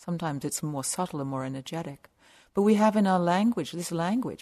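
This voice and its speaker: A woman with an English accent, fairly low in pitch, talking at a very fast pace over a quiet background. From southern England. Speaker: meditation teacher. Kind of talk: dharma talk. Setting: meditation retreat center.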